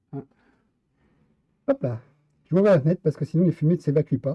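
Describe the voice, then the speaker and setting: Lively intonation and a somewhat breathy quality in a man's fairly high voice. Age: 50s. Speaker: live streamer. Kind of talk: casual chat. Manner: hesitant.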